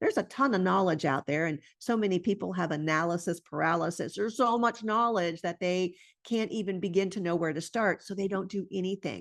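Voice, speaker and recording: A woman with a normal speaking voice talks at a medium pitch with ordinary pitch variation against a quiet background. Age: 60s. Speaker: integrative medicine doctor and entrepreneur. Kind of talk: conference presentation.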